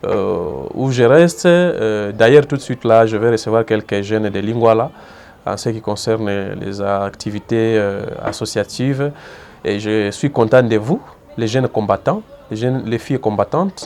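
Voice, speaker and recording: Over noticeable background noise, a man of medium pitch speaks at a fairly slow pace with long, frequent pauses and ordinary pitch variation. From eastern DR Congo, South Kivu. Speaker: community figure interviewed. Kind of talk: interview. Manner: hesitant, many fillers and repetitions.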